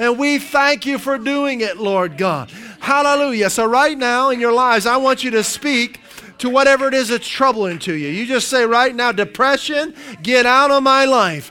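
A man with an extremely high pitch and a raised, projected voice speaks at a moderate pace with ordinary pitch variation over noticeable background noise. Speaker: pastor. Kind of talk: sermon. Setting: church. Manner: animated, warm, encouraging pastor's delivery.

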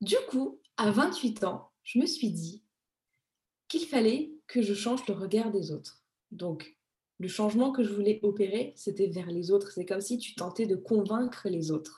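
A woman's somewhat breathy voice at medium pitch, fairly slow in pace, with a dark, mellow tone and lively intonation. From Madagascar, moved to France at 15. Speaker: image consultant. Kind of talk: interview.

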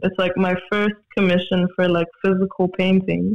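Speaking with a South African accent, a man has a high pitch. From Johannesburg, South Africa. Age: 20s. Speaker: multidisciplinary artist. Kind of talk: casual interview conversation. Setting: virtual recording, video call.

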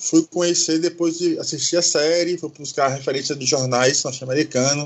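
A man speaks at a moderate pace. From Brazil, Salvador (Bahia). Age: 30s. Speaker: history graduate and activist. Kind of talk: podcast discussion.

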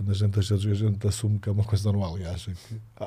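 A man's very fast, somewhat breathy speech, fairly low in pitch with a dark, mellow tone. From Portugal, Figueira da Foz. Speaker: basketball coach. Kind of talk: casual chat.

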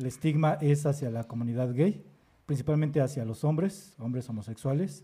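Somewhat breathy and dark, mellow in tone, a man speaks at a fairly high pitch with fairly even intonation. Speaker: podcast host. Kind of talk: casual chat.

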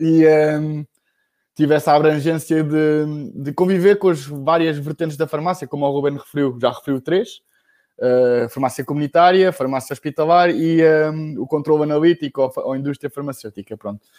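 A man's fairly high voice with a dark, mellow tone, ordinary pitch variation and a moderate pace, in a dry, close sound with no echo. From Portugal, Bombarral (Oeste region). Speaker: pharmacist. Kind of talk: casual chat.

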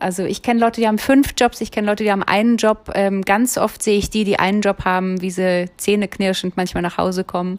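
A woman's very fast speech with a slight Berlin accent and fairly even intonation. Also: medium pitch for a woman, hardly any pauses. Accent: light Berlin. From Berlin, Germany. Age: 40s. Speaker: podcaster and self-employed coach. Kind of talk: solo podcast monologue. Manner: many filler sounds.

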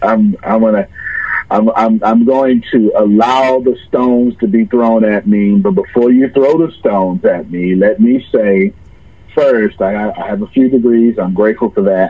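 With an American accent and a dark, mellow tone, a man speaks fairly slowly at a medium pitch with ordinary variation. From US South, Galveston, Texas. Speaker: entrepreneur and motivational speaker. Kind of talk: podcast interview.

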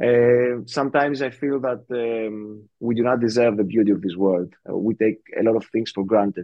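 A man speaks at a moderate pace with a Greek accent. His pitch is medium and his intonation fairly even. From Greece. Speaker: podcast host. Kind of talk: casual chat.

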